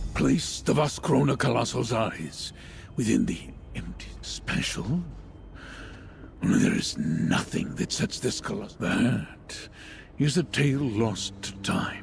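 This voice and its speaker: A man's put-on character voice at a fairly slow pace, with long, frequent pauses and clear background noise. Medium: video game. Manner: solemn, deliberate.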